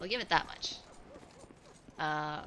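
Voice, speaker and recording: Heard with audible room echo and noticeable background noise, a woman speaks with an Irish accent. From Ireland. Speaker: video game streamer. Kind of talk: casual chat while gaming on a live stream.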